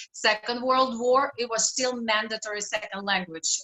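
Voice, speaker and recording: A woman's fairly high voice in a Russian accent, with fairly even intonation. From Russia, Saint Petersburg. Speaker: health and fitness coach. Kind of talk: interview.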